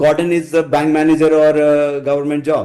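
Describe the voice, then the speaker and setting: In a Keralan accent, a man speaks with a fairly high pitch and a dark, mellow tone. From India, Kerala. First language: Malayalam. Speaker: technology architect. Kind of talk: podcast interview. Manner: halting, with restarts.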